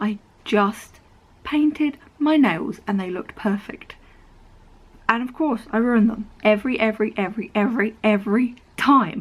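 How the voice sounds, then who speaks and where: The speaker, in an English accent, talks at a moderate pace with long, frequent pauses. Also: woman, fairly high pitch for a woman, ordinary pitch variation. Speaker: vlogger. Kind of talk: casual vlog talk. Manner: animated.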